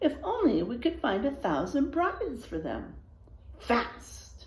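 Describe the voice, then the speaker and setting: In a put-on character voice, the lines are delivered at a fairly slow pace. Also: woman, high pitch for a woman. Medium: read story.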